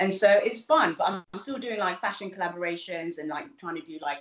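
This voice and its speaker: Quick-paced and fairly low-pitched, a woman with a South London accent speaks with lively intonation. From Southeast London (East Dulwich). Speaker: nurse and TV presenter. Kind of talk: casual interview. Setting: video call.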